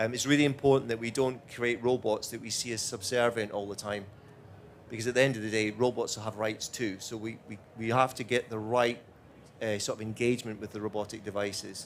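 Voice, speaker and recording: A man's medium-pitched voice with a Scottish accent, in monotone, flat intonation. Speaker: robotics executive. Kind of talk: panel Q&A answering audience. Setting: stage with audience.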